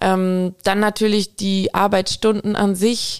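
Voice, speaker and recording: Over a silent background in a very clean recording, a woman speaks in a monotone, flat intonation. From Aalen area, Baden-Württemberg. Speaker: veterinarian. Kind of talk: interview.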